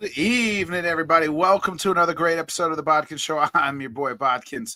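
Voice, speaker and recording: Very fast, animated speech from a man, high-pitched with a bright, sharp tone. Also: ordinary pitch variation. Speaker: sports talk show host. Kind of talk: casual sports talk show. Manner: casual, animated.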